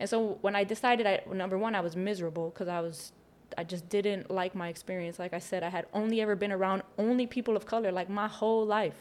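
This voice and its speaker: A woman with an American accent talks at a very fast pace, medium in pitch with fairly even intonation. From Chicago, South Side. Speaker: community activist. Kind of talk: casual chat. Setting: studio.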